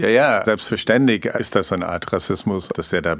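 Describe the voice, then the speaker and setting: A man speaks at a moderate pace. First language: not German (speaking German). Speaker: investigative journalist, co-host. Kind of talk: conversational documentary podcast.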